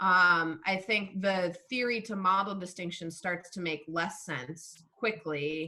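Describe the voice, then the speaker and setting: A woman with a plain, everyday voice talks at a fairly low pitch with ordinary pitch variation. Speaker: philosophy of science lecturer. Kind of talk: lecture with Q&A discussion. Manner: casual, many fillers.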